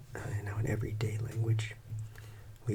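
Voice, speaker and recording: A soft-spoken voice moves at a moderate pace over noticeable background noise. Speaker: math teacher. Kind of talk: ASMR math lesson.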